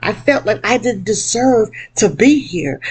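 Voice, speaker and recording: A woman's fairly high voice with vocal fry, very wide pitch swings and a fairly slow pace. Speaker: motivational speaker and workshop presenter. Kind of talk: personal video monologue. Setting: laptop webcam video. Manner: emotional, emphatic. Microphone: laptop recording.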